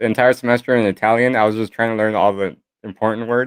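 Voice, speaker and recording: A man's unremarkable speaking voice, medium-pitched, with an American accent, at a fairly quick pace, in a dry, close sound with no echo. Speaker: livestream co-host. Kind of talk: casual livestream chat.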